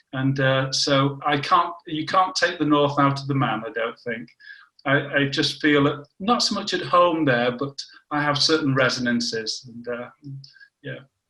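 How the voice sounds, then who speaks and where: A fairly high-pitched man with a northern English accent and a bright, sharp tone, at a fairly slow pace with ordinary pitch variation. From northern England, Warrington. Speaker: scientist. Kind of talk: casual interview.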